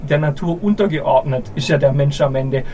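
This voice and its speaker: The man's voice sits fairly high, moving at a moderate pace with ordinary pitch variation. Noticeable background noise and audible room echo accompany him. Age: 30s. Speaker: company owner and managing director. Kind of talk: live panel conversation. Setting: live at a conference summit. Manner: halting, many repetitions.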